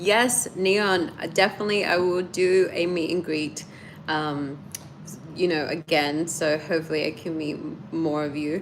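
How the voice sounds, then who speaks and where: The speaker has a slight Australian accent and a fairly slow pace. The intonation stays fairly even. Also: woman, fairly low pitch for a woman. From Australia, Sydney. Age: 30s. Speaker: YouTuber. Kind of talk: live stream chat.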